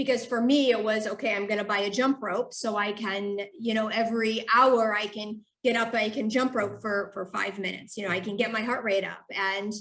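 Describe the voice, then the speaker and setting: A woman with an American accent uses a normal speaking voice, a fairly high pitch, fairly even intonation and a moderate pace. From United States. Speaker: human movement scientist. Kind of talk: podcast interview.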